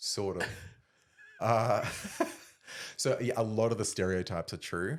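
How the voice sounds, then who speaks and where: Spoken in an Australian accent, the words come at a fairly slow pace with ordinary pitch variation. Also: man, medium pitch for a man. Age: 30s. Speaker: former Olympic discus thrower. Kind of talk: casual chat.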